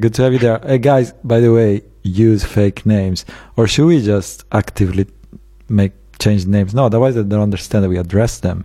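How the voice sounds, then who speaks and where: With an Italian accent, a man speaks at a moderate pace in a dark, mellow, fairly low voice, keeping his loudness very even and his pitch variation ordinary. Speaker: quiz host, live show host.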